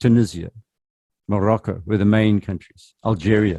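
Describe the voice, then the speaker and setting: A man with a Zulu accent speaks at a moderate pace in a fairly low pitch and a dark, mellow tone, the sound dry and close with no echo. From South Africa. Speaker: journalism trainer. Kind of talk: workshop presentation.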